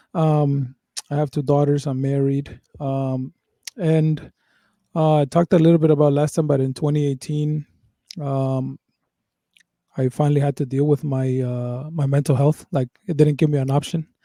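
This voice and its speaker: Monotone, flat intonation in a dark, mellow tone, moderate pace with long, frequent pauses, and a dry, close sound with no echo. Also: man, fairly high pitch for a man. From Mexico, raised from age ten in the Bay Area. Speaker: podcast co-host. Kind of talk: casual chat; reading aloud. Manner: casual, repetitive fillers.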